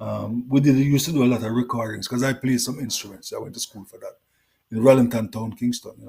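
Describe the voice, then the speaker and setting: Speaking at a very fast pace in a Jamaican accent, a man has a dark, mellow, somewhat breathy tone, with big swings in loudness. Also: medium pitch for a man, fairly even intonation. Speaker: reggae singer. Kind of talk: interview.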